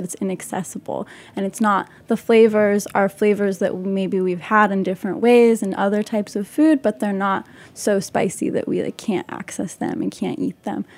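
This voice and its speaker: With an American accent, a woman in an ordinary speaking voice talks at medium pitch and a moderate pace, her pitch varying in an ordinary way. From Utah and the West Bank. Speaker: chef and artist. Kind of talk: casual chat.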